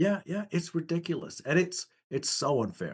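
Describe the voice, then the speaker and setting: A man speaks at a fairly slow pace in a fairly high voice with lively intonation. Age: 60s. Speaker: economics commentator. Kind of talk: podcast interview.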